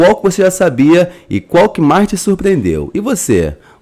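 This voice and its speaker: A man speaks in a Brazilian accent with vocal fry. His pitch swings very widely. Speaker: YouTube narrator. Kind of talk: scripted narration.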